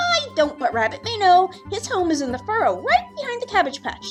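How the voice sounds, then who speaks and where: Over clear music in the background, a woman puts on a squeaky character voice with an extremely high pitch and very wide pitch swings, speaking at a fairly quick pace. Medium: read story. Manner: chattering, repetitive.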